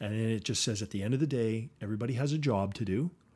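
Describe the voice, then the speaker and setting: Somewhat breathy, a man rattles along at a very fast pace in a medium pitch with ordinary pitch variation, on a very clean recording with a silent background. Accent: Canadian. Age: 50s. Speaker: company CEO. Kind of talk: interview.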